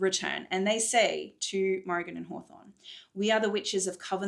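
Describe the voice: Fairly even intonation in plain reading aloud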